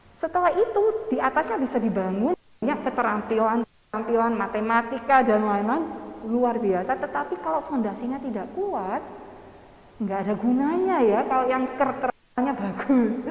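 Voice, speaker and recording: Noticeable background noise behind a woman's high-pitched voice, with lively intonation at a moderate pace. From England. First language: English (speaking Indonesian). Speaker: education lecturer. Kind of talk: seminar talk. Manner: halting.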